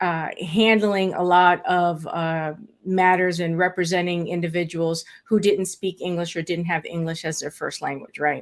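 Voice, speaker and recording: Speaking with a Spanish accent, a woman keeps a fairly low pitch and flat, monotone intonation at a moderate pace with hardly any pauses. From South Florida, born in Puerto Rico, Afro-Cuban. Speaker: estate planning lawyer. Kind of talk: interview.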